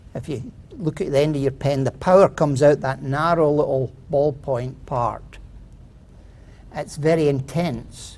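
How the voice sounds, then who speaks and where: The speaker has a Scottish accent. The pace is fairly slow. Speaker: inventor pitching a product. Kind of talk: contest pitch presentation. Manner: hesitant, with fillers.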